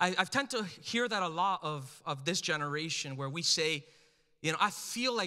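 A man speaks at a moderate pace in an animated, raised and projected voice, his bright, sharp tone carrying lively intonation over a quiet background. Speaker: pastor. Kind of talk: sermon. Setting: church with live congregation. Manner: animated, urgent, exhortative preacher cadence, pressing the crowd for amens. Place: church. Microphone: handheld.

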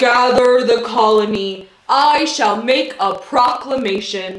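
A female-sounding, put-on character voice speaks fairly slowly at a high pitch, with a slight echo. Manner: heroic, regal.

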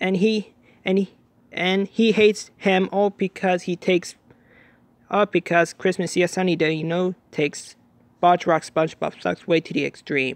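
The man's voice is high in pitch, with fairly even intonation at a moderate pace. The sound is dry and close, with no echo. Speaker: video commentator. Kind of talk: angry rant. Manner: irritated, repetitive, exasperated.

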